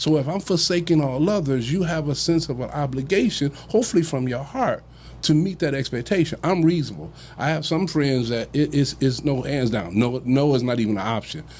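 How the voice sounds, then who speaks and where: A man's fairly quick, somewhat breathy speech rises and falls with lively intonation. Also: fairly high pitch for a man. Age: 60s. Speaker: relationship discussion panelist. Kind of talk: casual chat. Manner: halting, many repeated words.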